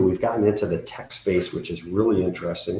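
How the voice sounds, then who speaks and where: A man's very deep, low voice comes out somewhat breathy. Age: 60s. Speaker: business consultant. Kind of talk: podcast interview.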